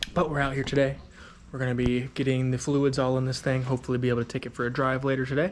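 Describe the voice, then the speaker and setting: Quiet and very fast, a man speaks at a medium pitch with monotone, flat intonation. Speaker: car enthusiast vlogger. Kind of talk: casual vlog talk to camera.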